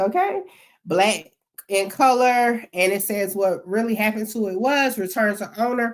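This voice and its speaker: Her voice is a plain, everyday voice, pitched fairly high for a woman. She keeps a moderate pace with ordinary pitch variation. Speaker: YouTube commentator on court records. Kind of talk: commentary reading court documents.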